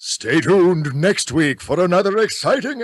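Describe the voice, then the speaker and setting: Delivered at a moderate pace, this put-on character voice carries lively intonation. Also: man, high pitch for a man. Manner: schmaltzy, melodramatic announcer.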